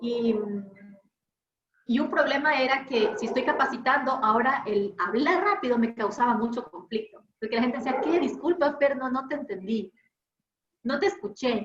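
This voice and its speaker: This woman has a high pitch and lively intonation, speaking at a moderate pace. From Ecuador coast. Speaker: trainer. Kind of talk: online workshop lecture.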